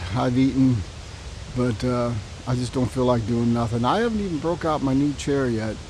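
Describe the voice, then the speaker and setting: Speaking at a moderate pace, a man uses a medium pitch with ordinary pitch variation. The recording carries noticeable background noise and audible room echo. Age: 60s. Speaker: bikepacking vlogger. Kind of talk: casual vlog monologue. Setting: outdoors at campsite. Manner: casual, rambling pace.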